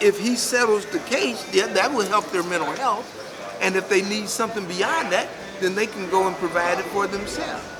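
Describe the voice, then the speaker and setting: Over crowd noise and audible room echo, a man talks at a moderate pace in a high voice with ordinary pitch variation. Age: 70s. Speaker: activist. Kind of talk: interview.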